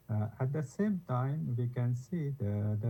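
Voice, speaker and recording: Music plays in the background. A soft-spoken man talks at a moderate pace. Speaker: environmental researcher. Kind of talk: panel discussion. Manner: halting. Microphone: too quiet.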